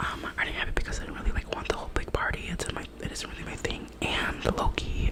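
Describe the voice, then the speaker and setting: A woman whispering at a very fast pace, with noticeable background noise. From US, Mexican-American family. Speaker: ASMR youtuber. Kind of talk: casual Q&A chat. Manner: casual, filler-heavy, code-switching Spanish and English.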